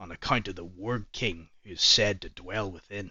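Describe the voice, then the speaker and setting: A man puts on a raspy character voice, pitched fairly low. He speaks at a moderate pace with fairly even intonation. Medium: machinima. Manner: measured, didactic.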